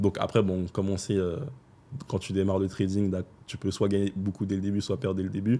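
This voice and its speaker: A man talks at a fairly quick pace. His fairly low voice has a dark, mellow tone. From France, Paris. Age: 20s. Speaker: trader. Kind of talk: podcast interview.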